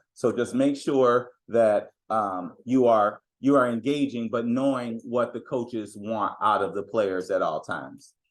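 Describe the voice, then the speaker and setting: A man at medium pitch, fairly slow pace and ordinary pitch variation, against a quiet background. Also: hardly any pauses. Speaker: youth basketball coach. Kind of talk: parent meeting talk.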